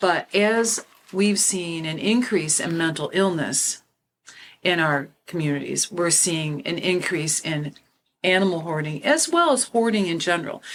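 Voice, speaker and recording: At a fairly slow pace, a woman with an unremarkable speaking voice talks at a fairly low pitch with ordinary pitch variation. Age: 60s. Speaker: podcast host and animal law officer. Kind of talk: panel discussion.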